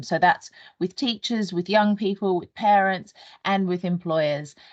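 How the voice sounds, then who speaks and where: A woman with an Australian accent speaks at a medium pitch. Her pitch varies in an ordinary way over a quiet background. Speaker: national careers organisation employer lead. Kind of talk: online training presentation. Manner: hesitant, many fillers.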